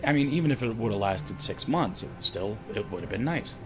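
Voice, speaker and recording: A man's lively intonation moves at a moderate pace while music plays behind him. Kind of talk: casual talk to camera.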